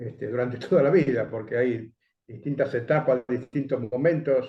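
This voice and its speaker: The voice is somewhat breathy, with ordinary pitch variation. Its pace is moderate. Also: man. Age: 60s. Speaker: education coalition coordinator. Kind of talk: interview.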